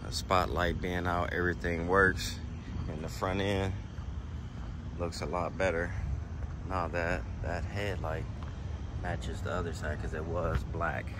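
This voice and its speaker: A man speaks with long, frequent pauses. The sound is dry with no echo, though background noise is noticeable. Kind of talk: casual vlog chat. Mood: relaxed, pleased. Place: street. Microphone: phone near.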